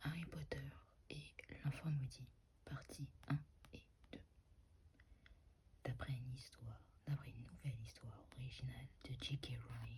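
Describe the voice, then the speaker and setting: The speaker is soft-spoken and talks at a fairly slow pace. Long, frequent pauses break up the speech. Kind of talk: ASMR narration of stage directions. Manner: soft-spoken, slightly inaudible.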